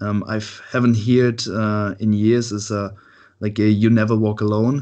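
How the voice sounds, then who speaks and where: A flat, monotone delivery at a fairly slow pace. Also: man, fairly low pitch for a man. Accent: German. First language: German. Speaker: podcast host. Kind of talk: interview. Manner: halting.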